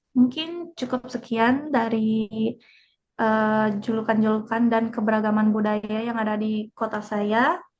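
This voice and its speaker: A woman talks with a fairly high pitch. Her voice is somewhat breathy. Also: fairly slow pace. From Majalengka, West Java, Indonesia. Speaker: student. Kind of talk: group class presentation. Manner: casual, hesitant with fillers.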